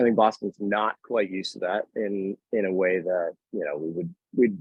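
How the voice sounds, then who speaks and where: A man with an American accent has an unremarkable speaking voice, pitched fairly low, moving at a moderate pace with fairly even intonation. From Worcester, Massachusetts. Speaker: bartender, beverage director. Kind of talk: podcast interview answer.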